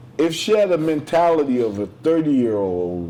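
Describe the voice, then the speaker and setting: Noticeable background noise sits behind this man's speech. His pitch swings very widely at a moderate pace. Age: 60s. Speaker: podcast host. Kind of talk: casual interview conversation. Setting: restaurant, filmed podcast.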